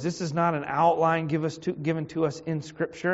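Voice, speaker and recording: The speaker has a Virginia accent. The pace is moderate. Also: man. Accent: Virginia Southern American. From US South, Richmond, Virginia. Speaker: pastor. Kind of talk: Bible study lesson. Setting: church.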